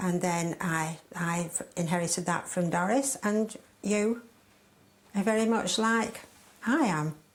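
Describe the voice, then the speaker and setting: Speaking very slowly with long, frequent pauses, a woman with a Lancashire accent uses a medium pitch and ordinary pitch variation. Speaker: guest's mother. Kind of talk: casual family chat. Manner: lively.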